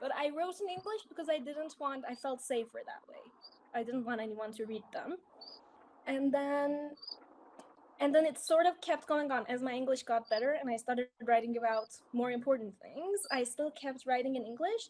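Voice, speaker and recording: A woman with a Persian accent speaks at a moderate pace in a high voice with lively intonation. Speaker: English speaking teacher. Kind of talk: casual chat.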